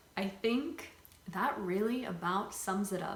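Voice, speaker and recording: Very slowly, a woman speaks at medium pitch with ordinary pitch variation, amid noticeable background noise and audible room echo. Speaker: YouTuber. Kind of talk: casual chat. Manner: talkative, filler-heavy.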